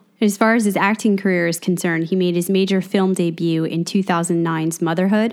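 An ordinary speaking voice moves at a fairly quick pace. Its pitch variation is ordinary. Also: woman. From New Jersey. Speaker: podcast co-host. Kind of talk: casual chat; scripted intro.

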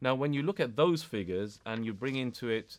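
With a British accent, a man speaks at a moderate pace and uses ordinary pitch variation. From UK. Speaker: educationalist and community activist. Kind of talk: interview.

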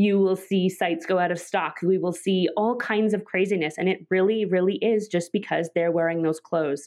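A woman with a Canadian accent speaks in an ordinary speaking voice at medium pitch, at a moderate pace with very even loudness, fairly even intonation and hardly any pauses. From Canada, Vancouver. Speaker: royal-watching blogger and media manager. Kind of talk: interview.

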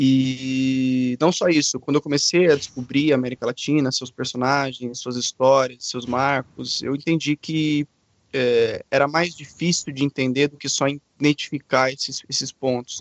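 A man with a medium-pitched voice talks in a flat monotone, recorded dry and close with no echo against a quiet background. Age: 20s. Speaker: journalist. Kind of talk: casual interview.

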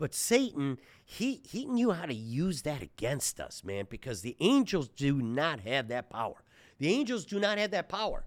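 An animated man with a fairly high pitch moves through very wide pitch swings at a moderate pace. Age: 60s. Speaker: surgeon and health podcast host. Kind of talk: angry rant, preachy and passionate, mixing faith and health. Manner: loud and fired up, emphatic.

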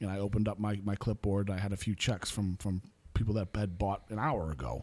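This man talks at a fairly quick pace with a fairly low pitch. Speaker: salesman. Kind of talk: casual chat. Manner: energetic.

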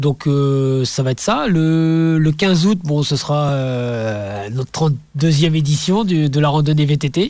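A man's fairly high voice at a very slow pace, with very even loudness throughout. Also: ordinary pitch variation. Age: 50s. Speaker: amateur ultra-trail runner and association president. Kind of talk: radio interview. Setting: radio studio.

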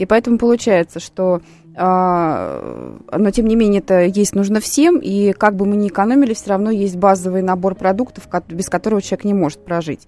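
A woman speaks in a dark, mellow tone at a medium pitch. Her pace is moderate and her pitch variation ordinary. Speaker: sociologist. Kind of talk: expert commentary on radio. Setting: studio.

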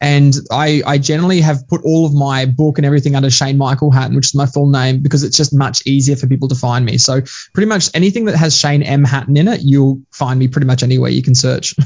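Very fast, somewhat breathy speech from a man with an Australian accent, fairly high in pitch, with hardly any pauses, very even loudness and fairly even intonation. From Queensland, Australia. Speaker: leadership coach and author. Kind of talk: podcast interview.

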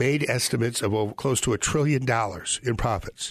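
With lively intonation and a moderate pace, an ordinary speaking voice comes through against a quiet background. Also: man. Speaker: radio host, foreclosure defense lawyer. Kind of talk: live radio talk show.

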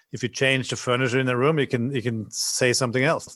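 A man with a Norwegian accent. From Norway. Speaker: hotel designer. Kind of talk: interview. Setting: video call.

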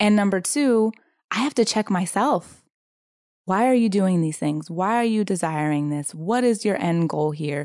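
Against a quiet background, a woman with lively intonation talks at a medium pitch and a moderate pace. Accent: Californian. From Southern California, San Diego. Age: 30s. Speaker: intuitive coach and energy healer. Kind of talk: casual interview chat.

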